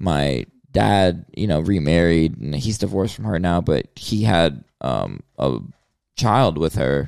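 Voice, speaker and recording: Lively intonation and vocal fry mark this very slow speaker with an American accent. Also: man, very deep, low pitch for a man. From US South. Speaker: rapper. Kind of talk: casual interview.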